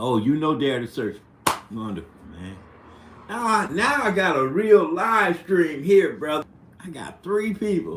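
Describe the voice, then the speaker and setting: Set against noticeable background noise, the speech comes in an American accent at a fairly slow pace, with long, frequent pauses, very wide pitch swings and big swings in loudness. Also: man, high pitch for a man. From US Midwest, St. Louis. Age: 60s. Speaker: live streamer. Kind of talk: casual chat. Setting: live stream. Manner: halting.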